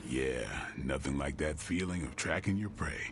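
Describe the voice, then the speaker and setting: Over loud music in the background, a man does a put-on character voice at a moderate pace. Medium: video game. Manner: dry, laconic.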